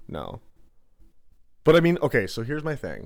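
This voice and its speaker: A man talks at a fairly quick pace with a medium pitch. Vocal fry runs through his voice. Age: 30s. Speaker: podcast guest. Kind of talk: casual chat.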